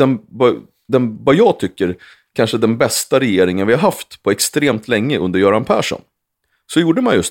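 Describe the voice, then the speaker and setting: Very wide pitch swings mark this man's moderate-paced speech, captured in a very clean recording with a silent background. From Sweden, Uppsala area. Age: 40s. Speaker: former member of parliament. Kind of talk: casual chat.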